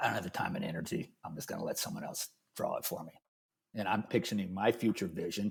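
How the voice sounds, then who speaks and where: A man at a fairly quick pace on a very clean recording, background silent. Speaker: architect. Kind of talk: casual chat. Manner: fast; energetic.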